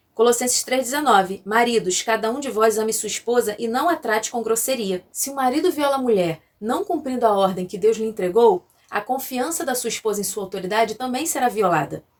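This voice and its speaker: Fairly quick and lively in intonation, a woman talks at a fairly high pitch. Hers is an unremarkable speaking voice. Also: hardly any pauses. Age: 30s. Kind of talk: scripted teaching with scripture reading. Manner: formal.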